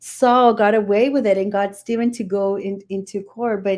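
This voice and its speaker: On a very clean recording with a silent background, an ordinary speaking voice moves at a moderate pace with fairly even intonation. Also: woman. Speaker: spiritist study group presenter. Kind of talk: study presentation.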